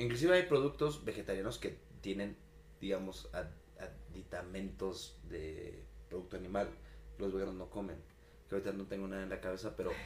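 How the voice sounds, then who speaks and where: Despite long, frequent pauses, the speech moves at a fairly quick pace amid audible room echo. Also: man. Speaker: podcast co-host. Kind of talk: casual chat. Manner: stammering at times.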